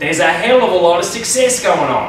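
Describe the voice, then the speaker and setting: A man speaking at a moderate pace, with audible room echo and light background noise. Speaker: presenter. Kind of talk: humorous presentation talk. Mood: playful, joking. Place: classroom. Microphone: camera far.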